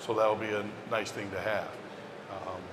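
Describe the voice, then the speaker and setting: Over noticeable background noise and with audible room echo, a man speaks in a fairly low pitch. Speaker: foodservice business executive. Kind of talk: panel discussion. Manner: quiet.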